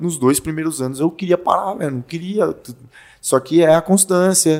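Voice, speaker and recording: In a normal speaking voice, a man talks at a fairly quick pace. His intonation is lively. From Brazil, Fortaleza (Ceará). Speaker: former pro fighter and personal trainer. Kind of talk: casual chat.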